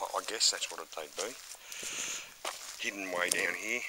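Loud background noise surrounds a man whose voice has a dry sound with no echo. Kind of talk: casual vlog narration. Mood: calm, mildly disappointed. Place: forest. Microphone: phone near.

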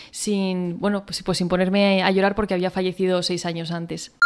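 Against a quiet background, a woman speaks at a fairly quick pace with fairly even intonation. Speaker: poet and author. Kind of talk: interview answers, then reading own poetry aloud. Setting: interview. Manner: halting, repeats words while thinking. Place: studio. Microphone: studio mic.

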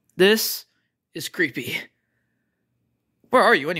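At a moderate pace, a cartoonish character voice comes through in a very clean recording with a silent background. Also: middle pitch. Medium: puppet.

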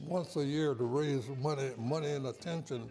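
Faint background music behind a man with an American accent, fairly high in pitch, speaking at a fairly slow pace with fairly even intonation. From Norfolk, Virginia, US. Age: 80s+. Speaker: saxophonist. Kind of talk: interview answer. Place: studio.

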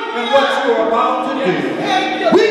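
A man amid loud background noise and audible room echo. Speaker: preacher leading prayer. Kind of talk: public prayer. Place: church.

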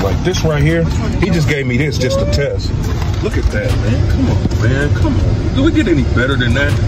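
A man keeps a moderate pace as loud background noise goes on around him. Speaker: vlogger. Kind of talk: casual vlog chat. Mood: proud, emotional, warm.

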